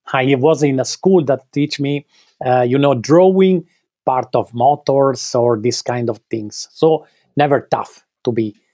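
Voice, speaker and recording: In an Italian accent, a man with a dark, mellow tone and fairly high pitch speaks at a fairly slow pace, recorded dry and close with no echo. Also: ordinary pitch variation. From Italy, Veneto (Treviso hills). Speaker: clothing designer, brand co-founder. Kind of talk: interview. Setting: remote call. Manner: halting.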